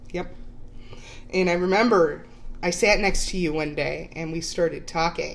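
A woman with an American accent speaks at a moderate pace in a fairly low voice with vocal fry and fairly even intonation. She leaves long, frequent pauses, and audible room echo surrounds her. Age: 30s. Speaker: podcast co-host, aspiring actress. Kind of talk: casual chat. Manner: giggly, laughing often.

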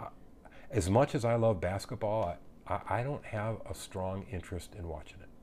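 At a moderate pace, the voice comes across as somewhat breathy with a dark, mellow tone, ordinary pitch variation and big swings in loudness. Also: man, fairly low pitch for a man. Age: 50s. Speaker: fire chief. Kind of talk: casual chat. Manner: halting, many fillers.

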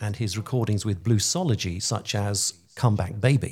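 A somewhat breathy man with a British accent at a moderate pace, on a very clean recording with a silent background. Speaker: radio host. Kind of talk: interview, friendly chat.

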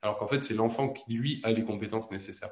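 This man's voice sits at a medium pitch. He delivers his words in a flat monotone. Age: 20s. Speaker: stay-at-home father. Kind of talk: interview.

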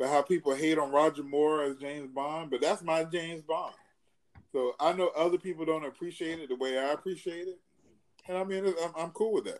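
This man has a normal speaking voice, fairly high in pitch, moving at a fairly quick pace with fairly even intonation. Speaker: podcast host. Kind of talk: casual podcast chat.

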